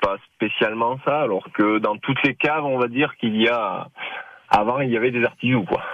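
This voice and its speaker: The voice moves at a moderate pace. Its pitch varies in an ordinary way. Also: man. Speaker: dairy farmer and cheesemaker. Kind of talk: radio interview. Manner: halting.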